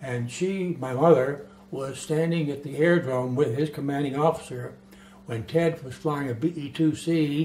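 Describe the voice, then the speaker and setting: A man's fairly high-pitched voice with fairly even intonation and big swings in loudness, over noticeable background noise. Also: fairly slow pace. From US South, Florida (West Palm Beach). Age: 80s+. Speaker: retired naval aviator. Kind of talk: interview. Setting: filmed documentary interview.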